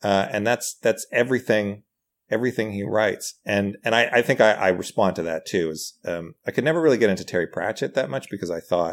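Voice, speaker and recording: With lively intonation and a medium pitch, a man speaks in an unremarkable speaking voice. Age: 40s. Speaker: writer, comedian and actor. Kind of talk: casual chat.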